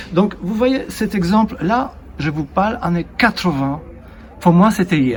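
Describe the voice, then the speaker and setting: Noticeable background noise runs under this recording. A man with a high pitch speaks at a very slow pace with lively intonation. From Poland. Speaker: interviewer. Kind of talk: casual chat.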